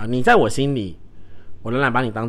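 Audible room echo surrounds this man. His pitch is medium and his pace fairly quick. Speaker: podcast host who works with children. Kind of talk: solo casual talk. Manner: emotional, animated.

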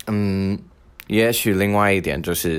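This is a man speaking. He has a non-native accent. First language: not Mandarin (speaking Chinese). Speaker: podcast host. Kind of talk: solo monologue.

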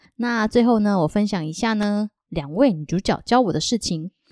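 On a very clean recording with a silent background and a dry, close sound free of echo, a woman talks at a moderate pace with lively intonation. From Taiwan. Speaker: podcast host. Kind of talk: casual interview chat; Bible storytelling.

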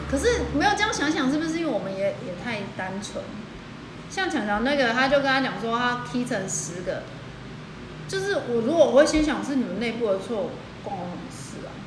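A woman in a Taiwanese accent talks at a fairly quick pace, her high voice making very wide pitch swings. Noticeable background noise and audible room echo surround her. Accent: Taiwanese Mandarin. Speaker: podcast co-host. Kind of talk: casual chat.

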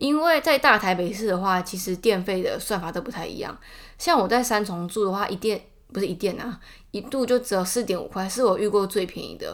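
Speaking with a Taiwanese accent, a woman talks at a fairly quick pace in a medium pitch, with lively intonation and big swings in loudness. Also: very clean recording, silent background. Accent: Taiwanese Mandarin. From Taiwan, Taichung. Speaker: podcaster. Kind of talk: casual monologue.

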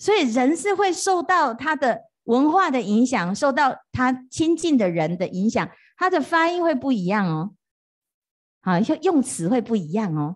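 Against a quiet background, a woman speaks in a high, animated voice with very wide pitch swings. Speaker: Buddhist monastic teacher. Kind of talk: dharma lecture. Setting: retreat hall with live audience. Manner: animated, frequent fillers like 啊 哈 哦.

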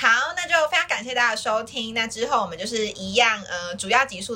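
A woman with a Taiwanese accent speaks at a fairly quick pace and fairly high pitch. Noticeable background noise runs underneath. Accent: Taiwanese Mandarin. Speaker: podcast host. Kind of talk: casual chat; podcast outro.

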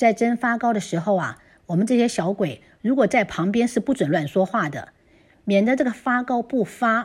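Her somewhat breathy voice moves at a moderate pace with lively intonation, and the background is quiet. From Taiwan. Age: 60s. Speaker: listener contributor. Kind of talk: reading aloud.

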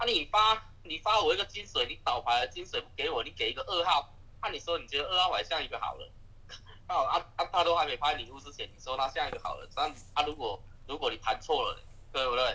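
Big swings in loudness mark a man talking at a fairly quick pace. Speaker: werewolf game player. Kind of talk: game discussion.

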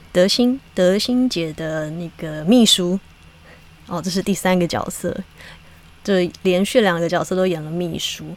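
A woman with a Taiwanese accent speaks at a medium pitch with lively intonation amid noticeable background noise. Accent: Taiwanese Mandarin. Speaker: podcast host and actress. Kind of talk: casual monologue.

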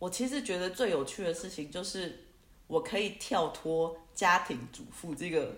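Lively intonation and big swings in loudness mark this fairly slow delivery. Audible room echo surrounds the voice. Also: woman, medium pitch for a woman. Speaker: music teacher and entrepreneur. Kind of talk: casual interview.

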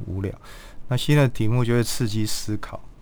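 Audible room echo hangs around a man as he talks. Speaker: palliative care physician. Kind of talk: interview.

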